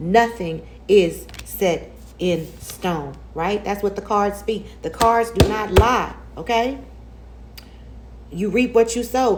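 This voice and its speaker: A woman at a medium pitch speaks with ordinary pitch variation and long, frequent pauses over noticeable background noise. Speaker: tarot reader. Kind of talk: tarot reading monologue. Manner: animated; fast.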